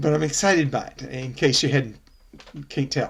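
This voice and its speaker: Somewhat breathy male speech at a fairly quick pace. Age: 60s. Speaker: associate pastor. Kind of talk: bible study closing remarks. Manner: halting, many fillers.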